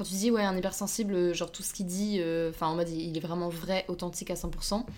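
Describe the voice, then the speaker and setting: Her voice is an unremarkable speaking voice, with a woman talking at a fairly quick pace and ordinary pitch variation. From France. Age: 20s. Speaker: podcast guest, host's best friend. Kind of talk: casual chat.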